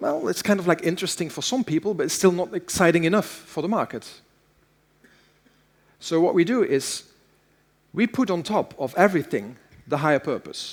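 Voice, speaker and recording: Long, frequent pauses break up a man's fairly quick speech, delivered at a high pitch with lively intonation. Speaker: keynote speaker. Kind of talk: keynote talk. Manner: fast.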